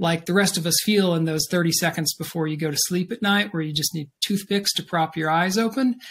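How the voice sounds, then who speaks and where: A man talks at a moderate pace in a high pitch. His intonation stays fairly even. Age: 50s. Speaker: author; guest. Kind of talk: interview. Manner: halting, many fillers. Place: home room.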